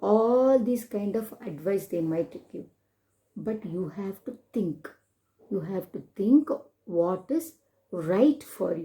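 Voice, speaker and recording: A woman speaks at a fairly slow pace in a dark, mellow, somewhat breathy tone, her pitch swinging very widely. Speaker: storyteller. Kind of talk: children's storytelling with moral lessons.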